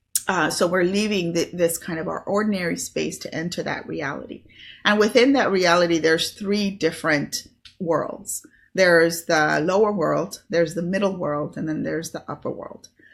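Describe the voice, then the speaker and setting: There is vocal fry in this woman's fairly low voice. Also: ordinary pitch variation, moderate pace. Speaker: spiritual teacher and online business host. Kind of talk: solo video talk on spirituality. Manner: casual with many fillers.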